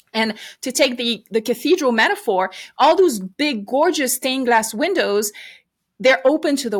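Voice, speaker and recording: Lively intonation runs through this woman's speech with a French accent. She talks at a fairly quick pace. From France. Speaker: podcaster and ministry leader. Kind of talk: interview.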